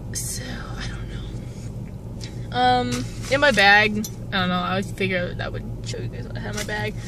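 Recorded dry with no echo, a woman speaks amid noticeable background noise. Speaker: vlogger. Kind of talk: casual vlog chat. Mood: excited, chatty. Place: car. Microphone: phone near.

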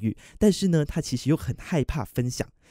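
A man with a fairly high pitch swings it very widely. The recording is very clean, with a silent background and a dry, close sound with no echo. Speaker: radio DJ trainee. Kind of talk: practice radio hosting segment.

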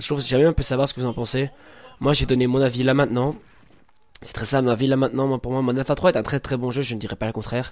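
Very fast speech from a man with a medium pitch. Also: fairly even intonation. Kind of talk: casual gameplay commentary.

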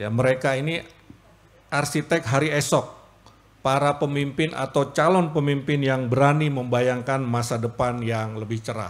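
The intonation stays fairly even. A man talks at a moderate pace. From Jakarta. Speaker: government official giving speech. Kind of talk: formal speech. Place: hall. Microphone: podium.

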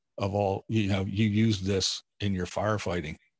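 The setting is quiet. A man talks with a fairly low pitch. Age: 50s. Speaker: blind YouTube creator. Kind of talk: casual chat. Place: home room. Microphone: video call.

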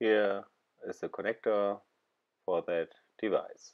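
A man talks at a fairly low pitch. Behind him the background is quiet. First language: not English. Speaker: DIY car repairer. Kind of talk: DIY car repair tutorial. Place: car.

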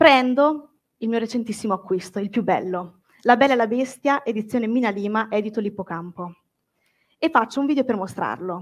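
Fairly high-pitched female speech at a moderate pace with ordinary pitch variation, on a very clean recording with a silent background. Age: 20s. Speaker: book content creator. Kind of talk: public talk. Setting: stage with audience.

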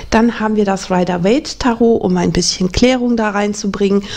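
A woman talks with ordinary pitch variation, keeping a moderate pace. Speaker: tarot reader. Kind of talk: casual presentation to viewers. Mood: warm, calm.

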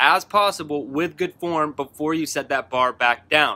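A man is speaking. His tone is bright and sharp. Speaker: fitness coach. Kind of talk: workout instruction to camera. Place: garden.

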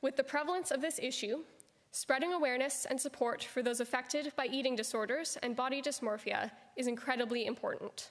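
Her voice high-pitched, a woman speaks at a fairly quick pace with ordinary pitch variation. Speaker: student host introducing the speaker. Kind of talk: formal speaker introduction. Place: hall.

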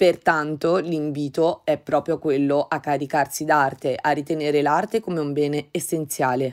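A woman speaks at a moderate pace with hardly any pauses, in a very deep, low pitch. Her intonation is fairly even, on a very clean recording with a silent background. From Umbria, Italy. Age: 30s. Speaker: artist. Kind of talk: artist statement monologue. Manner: formal.

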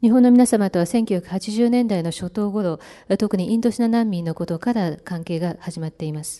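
Against a quiet background, a woman speaks at a moderate pace in a medium-pitched voice with a dark, mellow tone, ordinary pitch variation and big swings in loudness. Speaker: interpreter. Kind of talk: consecutive interpretation. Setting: press conference. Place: hall. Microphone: podium.

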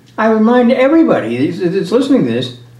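The room echo is audible. A man talks at a moderate pace. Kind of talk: teaching discussion. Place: home room. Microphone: camera far.

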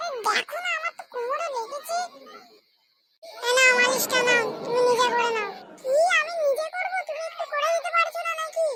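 A cartoonish character voice at an extremely high pitch, delivered at a moderate pace. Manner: whiny, melodramatic.

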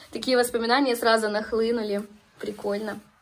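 At a moderate pace, a woman speaks with a fairly high, somewhat breathy voice. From Ukraine, Dnipro region. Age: 20s. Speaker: vlogger. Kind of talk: casual talk to camera. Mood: amused, nostalgic. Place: home room. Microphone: phone near.

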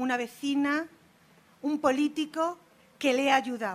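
The intonation is fairly even. The pace is fairly slow. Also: woman. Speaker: Roma rights activist. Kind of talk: conference talk. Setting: stage with audience. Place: hall.

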